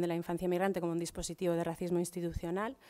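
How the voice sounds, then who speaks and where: A woman speaks with a fairly low pitch and a dark, mellow tone against a quiet background. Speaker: social educator. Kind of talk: conference talk. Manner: fast. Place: hall. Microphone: podium.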